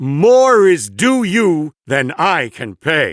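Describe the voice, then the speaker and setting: In a put-on character voice, a man talks very slowly in a high pitch with very wide pitch swings. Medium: read story.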